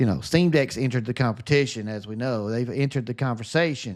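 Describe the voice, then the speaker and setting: Recorded very cleanly over a silent background, a man speaks with a Southern US accent at a medium pitch and with ordinary pitch variation. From US South. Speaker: gaming streamer. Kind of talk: live stream chat. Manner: upbeat, positive energy.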